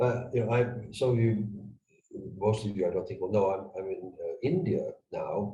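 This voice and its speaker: Audible room echo hangs around the voice. A man delivers his words at a moderate pace. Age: 60s. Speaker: retired intelligence officer and geopolitical analyst. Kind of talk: conversational analysis interview. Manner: hesitant, many fillers and restarts.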